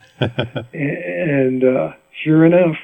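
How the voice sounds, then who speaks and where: Speaking with an American accent, a man holds a medium pitch. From Rhode Island, US New England. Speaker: mandolin player. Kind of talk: interview storytelling. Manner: animated; halting.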